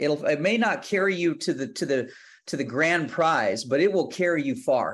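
With an American accent, a man speaks at a high pitch, with lively intonation and a moderate pace. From Texas, Houston. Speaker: country singer-songwriter. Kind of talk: interview.

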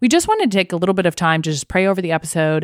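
A woman with a fairly low pitch and lively intonation talks in an ordinary speaking voice, with a dry, close sound and no echo. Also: very clean recording, silent background. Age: 20s. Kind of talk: casual faith discussion.

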